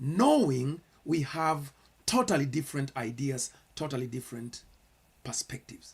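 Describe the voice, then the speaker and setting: A man with a Kenyan accent, somewhat breathy, at a fairly slow pace. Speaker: pastor. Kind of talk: sermon-style commentary. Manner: earnest, with repetitions and hesitations.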